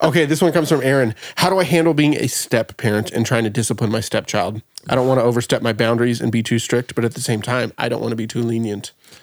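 Hardly any pauses break this man's very fast pace. His pitch is medium, with ordinary variation. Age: 30s. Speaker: podcast host. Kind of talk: casual chat.

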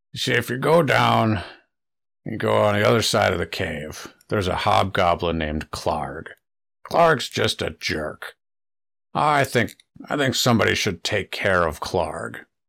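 A man uses a put-on character voice that is raspy and very deep and low in pitch. His pitch swings very widely at a moderate pace, with long, frequent pauses. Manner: wary, then scheming and casual.

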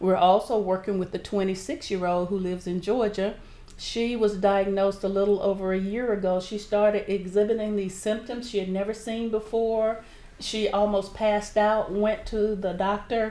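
A dark, mellow voice with a Southern US accent. It moves at a moderate pace with flat, monotone intonation. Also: woman, medium pitch for a woman. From southern Alabama. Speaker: nonprofit board member, retired civil servant. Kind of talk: interview. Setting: radio studio.

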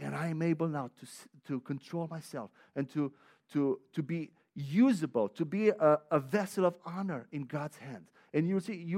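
A man with a Romanian accent speaks at a fairly high pitch, with ordinary pitch variation. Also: dry, close sound with no echo, very clean recording, silent background. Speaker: visiting preacher. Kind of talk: sermon. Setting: church.

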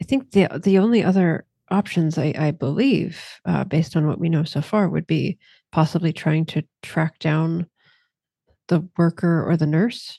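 A plain, everyday voice from a woman, fairly low in pitch with ordinary pitch variation and a moderate pace, dry and close with no echo against a quiet background. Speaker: tabletop player. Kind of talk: actual-play tabletop roleplaying game, casual chat.

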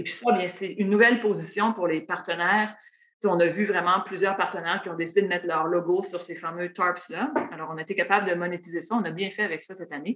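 The speech moves at a very fast pace with big swings in loudness. Intonation stays fairly even. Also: woman, fairly low pitch for a woman. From Quebec, Matane (Gaspésie region). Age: 40s. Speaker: sports team executive. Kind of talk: interview.

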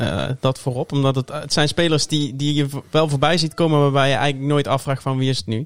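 A man's fairly high voice at a very fast pace with fairly even intonation. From Tilburg, southern Netherlands. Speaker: NFL fan and podcast guest. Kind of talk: casual chat.

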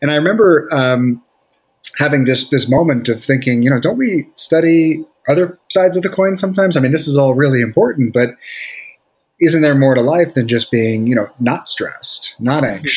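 A man's plain, everyday voice with an American accent, fairly high in pitch, lively in intonation, at a fairly quick pace. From Brooklyn, New York. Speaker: psychologist. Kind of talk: interview.

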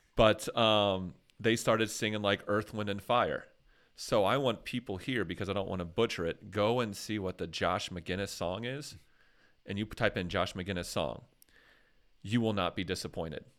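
A man with a plain, everyday voice speaks at a fairly low pitch with ordinary pitch variation on a very clean recording against a silent background. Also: moderate pace. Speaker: podcast host. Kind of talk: casual chat.

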